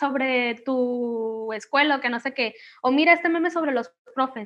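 A woman speaks with a high pitch. Her pitch shows ordinary variation. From Mexico, Manzanillo, Colima. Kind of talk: casual interview.

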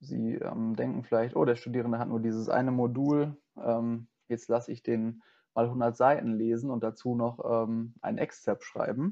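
A man speaks at a medium pitch and a moderate pace with fairly even intonation. His is a plain, everyday voice. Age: 20s. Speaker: student teacher. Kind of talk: interview.

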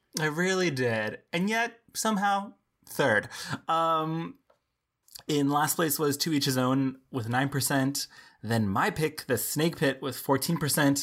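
In an unremarkable speaking voice with an American accent, a man talks at a fairly slow pace with a fairly high pitch, lively intonation and very even loudness, on a very clean recording with a silent background. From Texas border town. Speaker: film podcast co-host. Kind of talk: casual chat.

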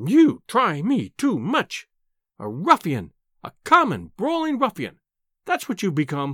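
This put-on character voice has a fairly bright tone, very wide pitch swings and a fairly slow pace. The sound is dry and close with no echo, in a very clean recording with a silent background.

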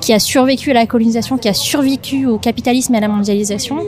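Noticeable background noise sits behind a woman talking at a fairly quick pace. Her voice is fairly high with ordinary pitch variation. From Madagascar, Antananarivo. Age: 20s. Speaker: podcast co-founder. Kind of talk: interview conversation. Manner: hesitant, many fillers.

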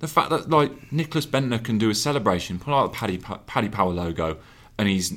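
A man talks fairly fast with lively intonation in an unremarkable speaking voice. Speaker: podcast host and digital journalist. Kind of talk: casual chat. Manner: joking, banterous.

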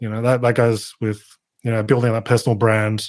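Flat, monotone speech in an Australian accent comes through on a very clean recording with a silent background. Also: man. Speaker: YouTuber on digital marketing. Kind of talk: podcast interview.

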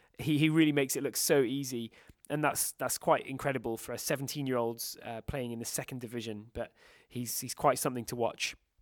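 This speaker has a British accent and a fairly quick pace. The intonation stays fairly even on a very clean recording with a silent background. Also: man, medium pitch for a man. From Britain. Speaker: football journalist. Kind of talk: casual chat.

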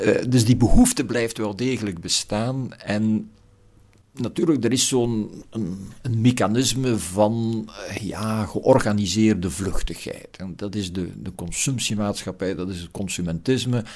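With a Flemish accent, a man talks at a fairly slow pace in a fairly low voice with ordinary pitch variation and big swings in loudness. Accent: Flemish Dutch. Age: old. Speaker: philosophy professor. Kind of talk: reflective interview. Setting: garden house. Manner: hesitant with repetitions.

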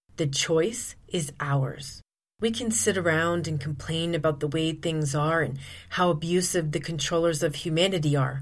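A woman at a very deep, low pitch with ordinary pitch variation, moderate pace and audible room echo. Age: 40s. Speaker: podcast host, abuse recovery coach. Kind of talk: solo podcast monologue.

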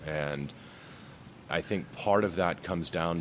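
A man talks with ordinary pitch variation. Vocal fry runs through his voice. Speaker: brewery co-owner, runs the barbecue.

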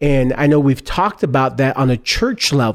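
A man speaks at a moderate pace with a fairly high pitch. His is an ordinary speaking voice, with ordinary pitch variation. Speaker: podcast host. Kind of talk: interview. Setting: conference venue.

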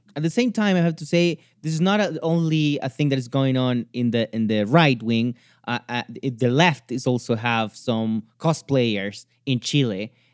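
Lively intonation marks this man's medium-pitched voice at a moderate pace. The sound is dry and close, with no echo. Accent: Spanish. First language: Spanish. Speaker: commentator on Latin American news. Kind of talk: casual chat. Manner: halting.

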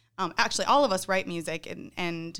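Fairly low in pitch, a woman speaks with a Midwestern US accent. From Northern Illinois. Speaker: band singer and guitarist. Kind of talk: casual interview chat.

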